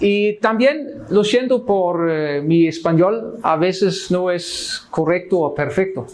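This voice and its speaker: A high-pitched man speaks at a very slow pace, with noticeable background noise behind him. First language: Swedish (speaking Spanish). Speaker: Lutheran missionary pastor. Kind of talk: Bible study teaching. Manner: halting, many fillers.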